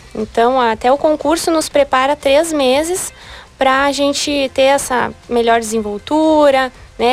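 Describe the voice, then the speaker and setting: A woman with a high-pitched voice speaks over noticeable background noise. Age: 20s. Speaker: beauty pageant candidate. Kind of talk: radio interview.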